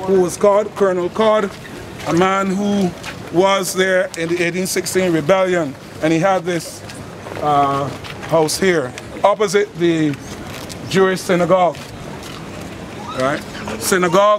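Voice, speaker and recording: The speaker has a Barbadian accent and a fairly slow pace. Long, frequent pauses come through over noticeable background noise. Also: man, high pitch for a man. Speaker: folk historian and tour guide. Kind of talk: live walking-tour talk. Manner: lively storytelling.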